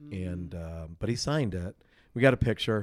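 A man speaks in a plain, everyday voice at a moderate pace, with ordinary pitch variation. The recording is very clean, with a silent background. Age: 50s. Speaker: concert promoter. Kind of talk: casual chat. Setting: promoter's office.

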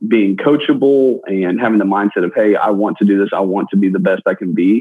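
Here is a man with an ordinary speaking voice and a fairly low pitch. He keeps a moderate pace with ordinary pitch variation. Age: 20s. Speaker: real estate broker and former pro football player. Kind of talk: interview.

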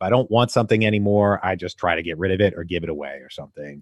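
A man with a very deep, low pitch and ordinary pitch variation, speaking at a very fast pace against a quiet background, in a dry, close sound with no echo. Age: 30s. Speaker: real estate investor and podcaster. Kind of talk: interview.

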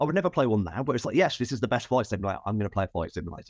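There's lively intonation from this man, recorded with a dry, close sound and no echo. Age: 40s. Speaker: comic book writer and game designer. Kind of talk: interview.

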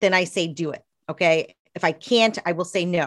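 A woman's normal speaking voice, dry and close with no echo, with ordinary pitch variation. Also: very clean recording, silent background. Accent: American. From US South, East Tennessee. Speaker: accountant and author. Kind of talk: interview.

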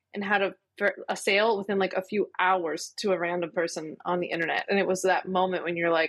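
A woman with an American accent talks in an ordinary speaking voice at a medium pitch. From Philadelphia, US. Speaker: lawyer turned entrepreneur. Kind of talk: casual interview chat.

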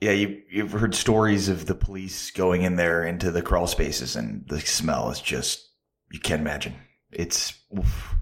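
Very deep and low, the man's voice carries vocal fry, ordinary pitch variation and a moderate pace. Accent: American. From Chicago suburbs. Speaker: sports radio personality. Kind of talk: casual chat.

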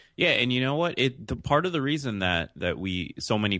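This man has a New York accent and lively intonation. He talks at a fairly quick pace against a quiet background. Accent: New York American. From New York City, born in Jamaica. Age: 20s. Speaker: podcaster and entrepreneur. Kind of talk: interview.

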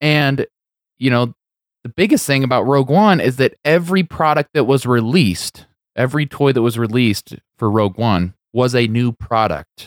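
In a normal speaking voice, a man of medium pitch talks at a moderate pace with lively intonation and very even loudness, in a very clean, dry, close recording with a silent background and no echo. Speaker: podcast host. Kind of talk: casual chat.

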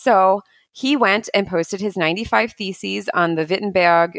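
Doing a put-on character voice in a German accent, a woman speaks at a fairly slow pace with a raspy, medium-pitched sound on a very clean recording with a silent background.

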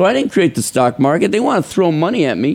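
In an American accent, the voice moves through very wide pitch swings. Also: man. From Chicago. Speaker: stock trading software developer. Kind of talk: interview.

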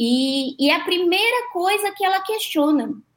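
The speaker is a woman. Her voice moves through very wide pitch swings. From Cruzeiro, interior São Paulo, Brazil. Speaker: NGO founder, support line coordinator. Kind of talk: panel discussion on live podcast.

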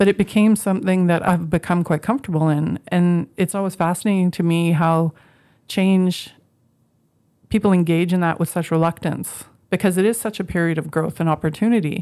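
A woman with a Canadian Prairie accent talks at a fairly quick pace, her pitch fairly low and her intonation fairly even. The recording is very clean, and the background is silent. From Canadian prairies, Moose Jaw, Saskatchewan. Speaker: education professor and dean. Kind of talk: interview monologue.

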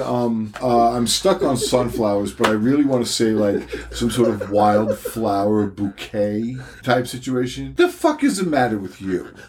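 A man of medium pitch speaks with ordinary pitch variation over noticeable background noise. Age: 50s. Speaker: podcast co-host. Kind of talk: casual chat.

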